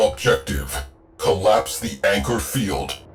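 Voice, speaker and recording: A man uses a put-on character voice with a very deep, low pitch. He talks at a fairly slow pace over faint background music. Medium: game stream. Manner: clipped, list-like phrasing.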